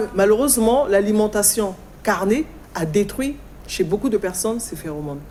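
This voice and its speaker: A woman's normal speaking voice at medium pitch, moderate pace and lively intonation. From Congo. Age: 60s. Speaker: guest speaking on African culture and spirituality. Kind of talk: talk show interview.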